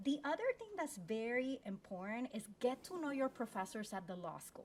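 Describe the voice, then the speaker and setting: Her pitch high and swinging very widely, a woman with a Spanish accent speaks at a moderate pace with big swings in loudness. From Puerto Rico. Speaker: law school dean. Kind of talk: panel discussion with career advice.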